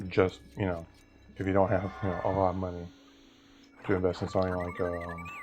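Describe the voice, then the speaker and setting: Over music in the background, a man with a very deep, low pitch speaks in a monotone, flat intonation at a fairly quick pace, with long, frequent pauses. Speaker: gaming youtuber. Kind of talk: gameplay commentary. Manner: halting.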